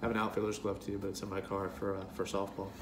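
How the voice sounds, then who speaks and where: A man speaks, and noticeable background noise can be heard throughout. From US Midwest, St. Louis area. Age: 30s. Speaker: YouTuber telling personal story. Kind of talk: personal talk to camera. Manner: hesitant with many fillers. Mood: nostalgic, relaxed. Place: kitchen. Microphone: webcam.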